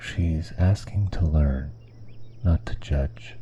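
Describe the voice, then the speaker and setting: Soft-spoken and very slow, a man with a very deep, low pitch talks with lively intonation against noticeable background noise. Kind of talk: ASMR fantasy roleplay narration.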